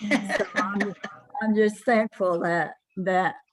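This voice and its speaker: At a very slow pace, a woman speaks with an American accent at a medium pitch. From Oklahoma, Kiowa community. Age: 90s. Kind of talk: closing remarks at online community event. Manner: halting, many fillers.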